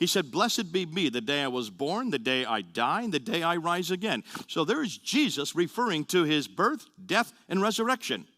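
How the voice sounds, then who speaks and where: A man talks in a fairly high, bright and sharp voice with vocal fry, his pitch swinging very widely. The recording is very clean, with a silent background. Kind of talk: lecture. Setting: audience talk, being filmed. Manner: fast; animated.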